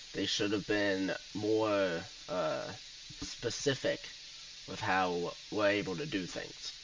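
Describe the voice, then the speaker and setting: A man speaks at a very slow pace with long, frequent pauses, using a medium pitch and lively intonation. Room echo is audible. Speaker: roleplay gamer. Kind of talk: casual game voice chat. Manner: sounds like attitude, talking back.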